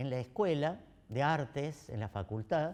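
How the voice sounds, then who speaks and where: With very wide pitch swings, this man talks in a voice that sits fairly high. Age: 70s. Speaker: theatre director and actor. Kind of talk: interview. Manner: halting.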